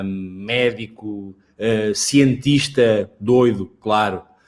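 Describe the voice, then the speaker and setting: A man with a European Portuguese accent speaks at a medium pitch with ordinary pitch variation. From Portugal, Lisbon. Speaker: dentistry professor. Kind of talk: interview.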